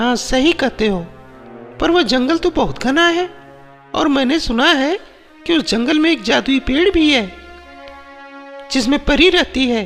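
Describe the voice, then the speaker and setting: A woman does a high, cartoonish character voice at a moderate pace. Clear music plays in the background. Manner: worried.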